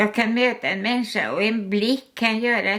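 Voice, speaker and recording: A woman speaks with fairly even intonation. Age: 80s+. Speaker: artist, painter. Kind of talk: interview answer. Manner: hesitant, halting.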